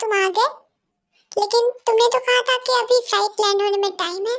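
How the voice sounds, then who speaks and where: A woman's put-on character voice, squeaky and extremely high, at a fairly quick pace with fairly even intonation. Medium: audio drama. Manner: scolding, emotional.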